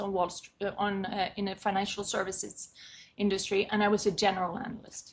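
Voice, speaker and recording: The voice has a Swedish accent and a bright, sharp tone. Its pace is fairly quick. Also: woman. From Sweden. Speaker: condo and co-op board consultant. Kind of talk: podcast interview.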